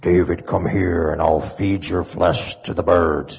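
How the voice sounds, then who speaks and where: A man's booming put-on character voice, very deep and low in pitch, at a fairly slow pace. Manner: menacing, intimidating.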